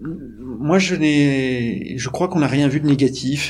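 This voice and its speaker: A man at a very slow pace, medium in pitch with ordinary pitch variation, in audible room echo. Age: 40s. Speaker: startup executive. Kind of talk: interview. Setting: company offices. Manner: hesitant with many fillers.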